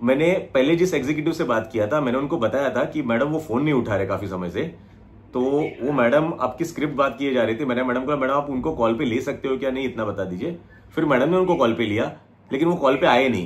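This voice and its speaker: A man speaks at a medium pitch with ordinary pitch variation, and there is noticeable background noise. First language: Marathi (speaking Hindi). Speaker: small business owner. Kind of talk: customer service phone complaint.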